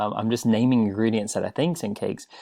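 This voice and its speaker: This man speaks at a medium pitch. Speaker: teacher. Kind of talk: tutorial. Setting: recorded video lesson for online class. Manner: fast.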